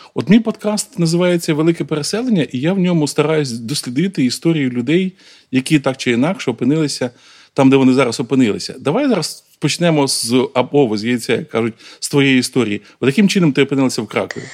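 A man talks at a very fast pace with lively intonation. His pitch sits fairly high. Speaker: podcast host. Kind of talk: interview. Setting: outdoors at a military training ground.

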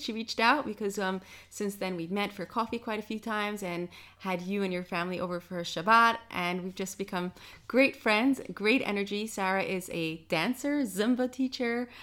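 A woman at a medium pitch with a New York accent, ordinary pitch variation and a moderate pace, on a very clean recording with a silent background. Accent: American, New York. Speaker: podcast host. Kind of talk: casual interview chat; scripted outro.

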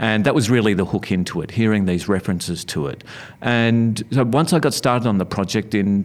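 A man speaks with an Australian accent. His pitch is fairly low, with ordinary variation. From Melbourne, Australia (western suburbs). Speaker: author and former university lecturer. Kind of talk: interview. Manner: halting, many fillers.

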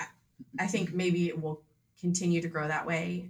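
A woman with a plain, everyday voice speaks in an American accent, her pitch fairly low and her intonation fairly even. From US Midwest, Grosse Pointe, Michigan. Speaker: painter. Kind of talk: casual interview.

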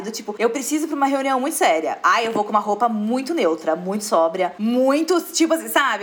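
A woman speaks very fast in a high, animated voice with very wide pitch swings. Noticeable background noise runs underneath. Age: 30s. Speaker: fashion influencer. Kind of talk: casual chat.

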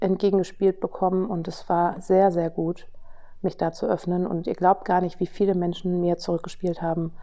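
The speaker is a woman. Her delivery is neither hurried nor slow. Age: 40s. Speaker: podcast host and business coach. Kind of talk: personal storytelling monologue. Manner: casual with frequent fillers.

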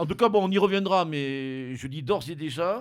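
A man's fairly high voice with lively intonation at a moderate pace, on a very clean recording with a silent background. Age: 50s. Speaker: radio host. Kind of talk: casual chat. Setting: studio. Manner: halting.

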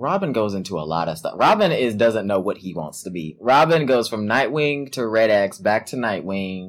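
With an unremarkable speaking voice, a man talks at a moderate pace and hardly any pauses. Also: fairly low pitch for a man, lively intonation. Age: 20s. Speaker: podcast co-host. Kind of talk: casual chat.

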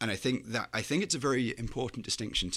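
In a very clean recording with a silent background, a man speaks with a northwest English accent and ordinary pitch variation. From northwest England, Chester. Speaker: graduate student, Leave voter. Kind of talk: interview.

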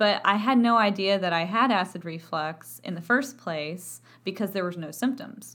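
A woman with a Texan accent talks at a moderate pace with hardly any pauses. Her pitch is medium and its variation ordinary. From Texas. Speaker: voice professor. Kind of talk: educational podcast talk. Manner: animated.

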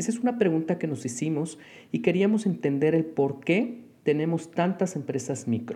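In a Mexican accent, a man with a fairly high pitch speaks at a moderate pace, his tone dark and mellow and his intonation lively. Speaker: business consultant and lecturer. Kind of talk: solo podcast monologue.

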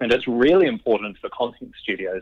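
Speaking with a New Zealand accent, a man moves at a fairly quick pace. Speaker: company CEO. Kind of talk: interview. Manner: halting, with frequent repetitions.

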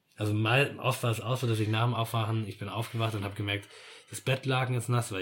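A man with a medium pitch and a somewhat breathy voice talks at a fairly quick pace with fairly even intonation, on a very clean recording with a silent background. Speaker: podcast guest. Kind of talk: casual conversation about grief and death.

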